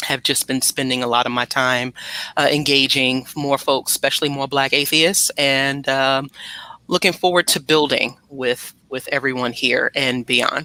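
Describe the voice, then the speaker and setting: Speaking at a fairly slow pace, a woman with a very deep, low pitch and a bright, sharp tone keeps a fairly even intonation in a dry, close sound with no echo. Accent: American. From New York City. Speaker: nonprofit founder. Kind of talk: panel discussion.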